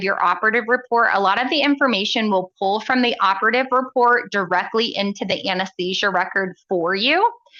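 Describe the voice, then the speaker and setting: A woman speaks fairly quickly in an ordinary speaking voice at a fairly high pitch. Her pitch varies in an ordinary way. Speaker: software product presenter. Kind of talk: live software demo.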